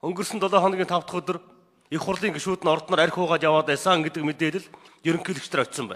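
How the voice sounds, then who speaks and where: A man speaks at a very fast pace in a high pitch. His intonation stays fairly even. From Mongolia. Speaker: member of parliament. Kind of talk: parliamentary speech. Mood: critical, pointed. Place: hall. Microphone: podium.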